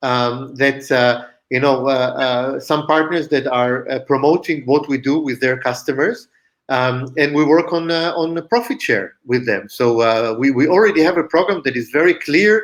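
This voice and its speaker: Moderately paced, a man with an Israeli accent speaks at a fairly high pitch with ordinary pitch variation. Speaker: company founder and CEO. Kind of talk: interview. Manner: halting, many fillers.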